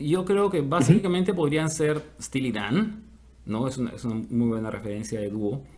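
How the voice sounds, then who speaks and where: The man's pitch is fairly high, with very wide swings up and down. He speaks at a moderate pace. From Peru. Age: 50s. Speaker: musician. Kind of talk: interview.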